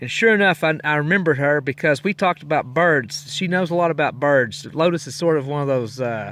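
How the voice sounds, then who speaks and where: A man with an American accent speaks at a fairly quick pace, his fairly high pitch moving with ordinary variation. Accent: Texas accent, coming back. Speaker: long-distance hiker, podcaster. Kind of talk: casual spoken trail diary. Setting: in a tent on the trail. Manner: relaxed, rambling with many fillers.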